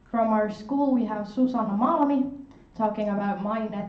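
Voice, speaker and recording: A woman speaks at a fairly slow pace in a fairly high pitch, with audible room echo and noticeable background noise. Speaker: student union board member. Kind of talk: orientation presentation. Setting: lecture room, filmed and streamed.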